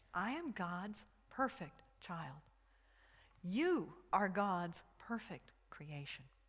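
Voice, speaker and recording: A woman's medium-pitched voice, very slow with long, frequent pauses, lively intonation and audible room echo. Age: 60s. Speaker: minister. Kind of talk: sermon. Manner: halting, with many repeated words.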